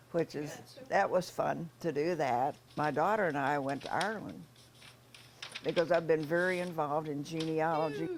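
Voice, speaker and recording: A woman with an American accent has a very deep, low pitch and fairly even intonation. Background noise is noticeable. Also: moderate pace. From US Midwest, northeast Missouri. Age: 90s. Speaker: retired nurse. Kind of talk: interview. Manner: hesitant, with fillers and repeats.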